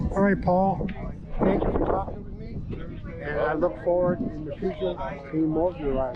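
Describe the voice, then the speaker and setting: Noticeable background noise and audible room echo around a man's speech. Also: moderate pace. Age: 60s. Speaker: car show video host. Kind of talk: casual interview at car show. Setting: outdoors at car show.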